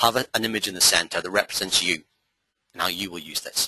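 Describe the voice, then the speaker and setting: Fairly low in pitch, a man's voice has a bright, sharp tone and ordinary pitch variation. He talks at a very fast pace, and the sound is dry and close with no echo. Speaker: memory coach, trainer. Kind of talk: webinar masterclass lecture. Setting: live webinar broadcast from a hall.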